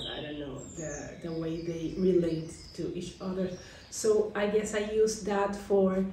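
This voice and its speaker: With a Spanish accent, a woman talks at a fairly slow pace and a medium pitch, her intonation fairly even but her loudness swinging widely. Audible room echo and light background noise are present. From Colombia. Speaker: author; interviewee. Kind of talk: interview; interview answer. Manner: halting. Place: home room. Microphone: camera far.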